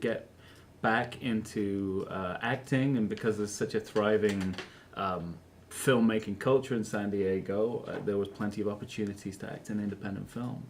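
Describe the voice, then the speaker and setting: Speaking with a British accent, a man keeps his fairly low voice in fairly even intonation at a moderate pace. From England. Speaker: actor. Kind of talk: interview. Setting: studio. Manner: halting, many fillers.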